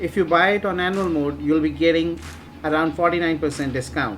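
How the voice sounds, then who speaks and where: Someone with an Indian accent speaks at a fairly quick pace as music plays in the background. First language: Hindi. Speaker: software reviewer, online marketing channel host. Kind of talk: tutorial, software review and demo.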